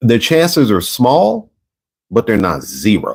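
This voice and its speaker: A man talks loudly at a very slow pace, his pitch swinging very widely. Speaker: video podcast host. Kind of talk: casual solo commentary. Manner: animated.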